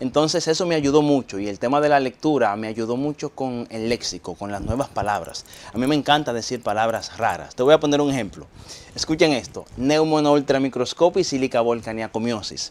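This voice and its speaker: A man's medium-pitched voice with ordinary pitch variation, over noticeable background noise. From Dominican Republic, Barahona. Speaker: reading promoter and speaker. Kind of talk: interview. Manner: halting.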